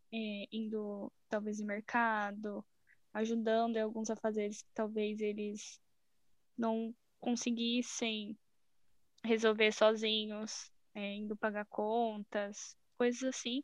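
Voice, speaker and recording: A woman's fairly high-pitched voice at a very slow pace, monotone and flat, with long, frequent pauses, big swings in loudness and a dry, close sound free of echo. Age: 20s. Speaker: biology student, club member. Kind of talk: casual chat.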